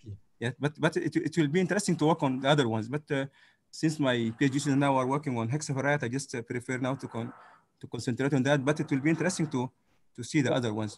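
This man talks very fast in a fairly high, somewhat breathy voice. His pitch varies in an ordinary way over a quiet background. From Sudan. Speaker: physics professor. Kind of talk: conference talk.

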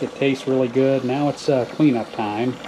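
A man speaks at a medium pitch in an American accent. There is noticeable background noise. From US South. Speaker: hobby farmer and channel host. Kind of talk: casual tutorial. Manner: hesitant, many filler words. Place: kitchen.

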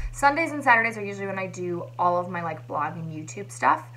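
The pace of the speech is fairly quick. Behind it, music is playing. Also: woman. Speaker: vlogger. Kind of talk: casual vlog chat. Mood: chatty, a bit frustrated. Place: home room. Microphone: phone near.

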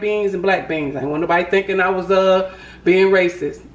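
A woman speaks in a room with audible echo. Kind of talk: casual cooking vlog chat. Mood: relaxed, joking. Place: kitchen. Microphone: phone near.

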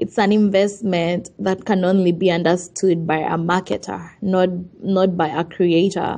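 Over noticeable background noise, a woman talks at a fairly slow pace in a medium pitch with monotone, flat intonation. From Uganda. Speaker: entrepreneur. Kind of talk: interview.

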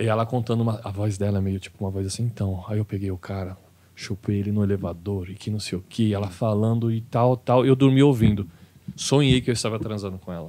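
A man is speaking. His pace is very fast. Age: 30s. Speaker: stand-up comedian; podcast guest, stand-up comedian. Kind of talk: casual chat. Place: studio. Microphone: studio mic.

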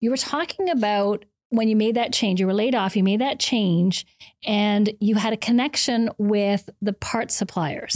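A woman talks at a moderate pace. Her pitch shows ordinary variation. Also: quiet background. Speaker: podcast host. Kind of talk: interview. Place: studio. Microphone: studio mic.

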